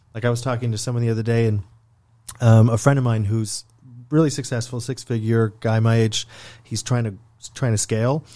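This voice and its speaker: A man talks at a fairly quick pace in a medium pitch, with long, frequent pauses. His tone is dark and mellow, his intonation monotone and flat. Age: 30s. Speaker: podcast host and founder. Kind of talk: casual chat.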